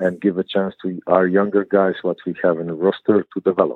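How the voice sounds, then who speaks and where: Here is a man with a Croatian accent and a very deep, low pitch. His delivery is monotone and flat at a moderate pace. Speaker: basketball head coach. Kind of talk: interview. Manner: halting, repeats words.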